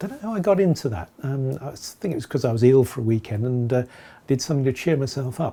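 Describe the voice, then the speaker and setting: A man's somewhat breathy, dark, mellow voice at medium pitch, with lively intonation and a very fast pace. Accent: English. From England. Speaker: beard-growing vlogger. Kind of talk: casual video log. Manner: hesitant, many fillers.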